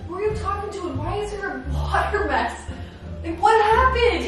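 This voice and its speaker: Over background music and strong room echo, a woman speaks at a moderate pace. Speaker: vlogger. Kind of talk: casual vlog chat.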